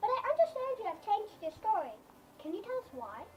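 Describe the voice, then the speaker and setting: A woman's squeaky, put-on character voice, extremely high in pitch with very wide pitch swings, at a very fast pace over clear background noise. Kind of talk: TV news reporting. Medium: comedy sketch.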